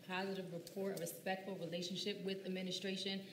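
The speaker has an American accent and a moderate pace. Light background noise and audible room echo are present. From US Northeast. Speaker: teacher and council candidate. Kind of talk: candidate forum speech. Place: hall.

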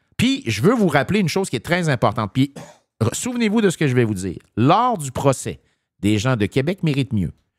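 Against a quiet background, a man in a Quebec accent makes very wide pitch swings, the sound dry with no echo. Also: fairly high pitch for a man, fairly quick pace. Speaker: municipal politician. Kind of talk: political commentary in casual chat. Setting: studio. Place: studio.

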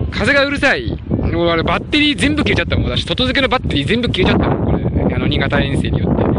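A man speaks at a very fast pace with hardly any pauses and very even loudness, in a dry sound with no echo over loud background noise. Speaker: live streamer. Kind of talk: live outdoor stream, casual commentary. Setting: outdoors. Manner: chatty, animated. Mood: worried about dying battery. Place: open country. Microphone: phone near.

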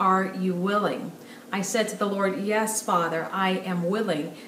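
Recorded with audible room echo and light background noise, a woman speaks at a moderate pace. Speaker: speaker. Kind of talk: sermon-like direct-to-camera message. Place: home room.

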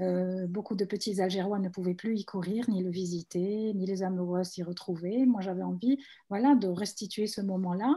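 Over a quiet background, a woman speaks at a moderate pace in a somewhat breathy voice with a dark, mellow tone and fairly even intonation. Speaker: visual artist. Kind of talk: panel presentation. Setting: video call. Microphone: video call.

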